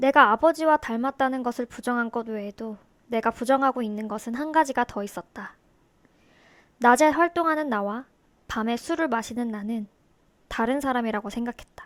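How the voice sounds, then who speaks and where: Long, frequent pauses break up a woman's high-pitched speech, recorded with a dry, close sound and no echo. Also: ordinary pitch variation, moderate pace, very clean recording, silent background. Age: 30s. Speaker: YouTube vlogger. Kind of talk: personal confessional monologue to camera.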